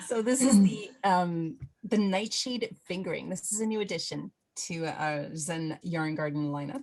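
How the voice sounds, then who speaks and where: Somewhat breathy, a woman speaks at a medium pitch and a fairly slow pace with ordinary pitch variation. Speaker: knitting instructor. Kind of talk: tutorial. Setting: video call.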